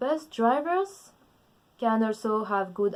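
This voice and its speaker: A woman with a French accent, speaking at a very slow pace. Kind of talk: casual talk to camera.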